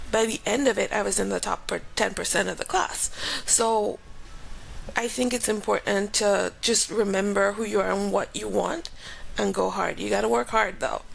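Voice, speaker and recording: Moderate-paced speech from a woman with a Grenadian accent, over noticeable background noise. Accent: Grenadian Caribbean. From Grenada. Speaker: aerospace engineer and professor. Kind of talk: interview. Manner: casual.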